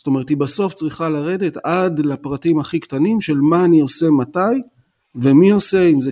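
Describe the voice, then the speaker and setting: A man with a normal speaking voice talks at a moderate pace and fairly high pitch. Pitch variation is ordinary, and the sound is dry and close with no echo. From Israel, Tel Aviv. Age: 50s. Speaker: business coach and consultant. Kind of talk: podcast interview.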